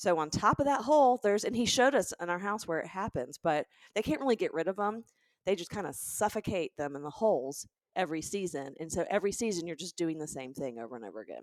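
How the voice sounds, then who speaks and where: A woman with a fairly low pitch talks at a fairly quick pace in an animated tone, her pitch swinging very widely, in a very clean, dry, close recording with no echo and a silent background. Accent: Southern. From US South, Birmingham, Alabama. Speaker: comedian and podcast co-host. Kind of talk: casual chat.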